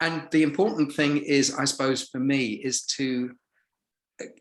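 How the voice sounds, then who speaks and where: A man speaks with an English accent. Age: 60s. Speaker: retired businessman, actor and voiceover artist. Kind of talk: casual interview chat.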